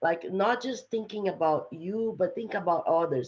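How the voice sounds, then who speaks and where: A woman with a strong non-native accent speaks with lively intonation. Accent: heavy foreign. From Brazil. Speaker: STEM executive, panelist. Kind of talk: panel discussion.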